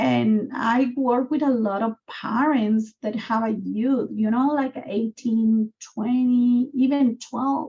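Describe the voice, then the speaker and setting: A woman's high voice with a dark, mellow tone and a Guatemalan accent, fairly even in intonation, at a very slow pace. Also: hardly any pauses. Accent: Guatemalan Spanish accent, noticeable. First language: Spanish. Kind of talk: video call community conversation. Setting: video call.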